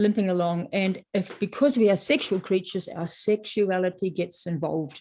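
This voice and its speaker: Hardly pausing, a woman with a New Zealand accent speaks at a moderate pace. Her tone is dark and mellow, and the background is quiet. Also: medium pitch for a woman, ordinary pitch variation. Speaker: author. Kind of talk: interview. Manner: halting.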